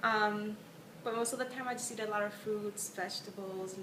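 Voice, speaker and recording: A woman speaks with fairly even intonation. Noticeable background noise and audible room echo fill the recording. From Puerto Rico. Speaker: interviewee. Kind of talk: casual self-introduction.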